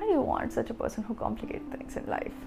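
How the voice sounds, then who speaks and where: Music sounds in the background while a woman speaks in a high-pitched voice. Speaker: poet and podcast host. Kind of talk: poetry performance, emotional spoken-word love poem. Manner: dreamy, wistful, tender with longing.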